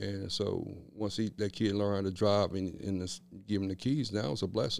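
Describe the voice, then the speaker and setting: In an American accent, a man with a fairly low voice speaks at a moderate pace with fairly even intonation. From Kansas City, Kansas (Wyandotte County). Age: 40s. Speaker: motivational speaker and trainer. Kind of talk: casual interview.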